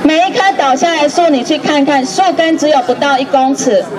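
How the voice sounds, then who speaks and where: A woman speaks at a high pitch and a fairly slow pace, with ordinary pitch variation. Crowd noise runs in the background. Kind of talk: protest speech. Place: street. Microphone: handheld.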